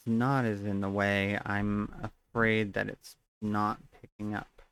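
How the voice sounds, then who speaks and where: A soft-spoken man talks at a very slow pace in a fairly low pitch. His intonation stays monotone and flat. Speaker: streamer. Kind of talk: live stream gaming chat.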